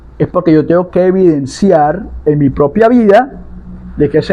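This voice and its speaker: A man speaks at a fairly slow pace, his pitch high for a man. There is noticeable background noise. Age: 60s. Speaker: palo mayombe priest (tata) and spiritual advisor. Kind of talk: religious teaching monologue.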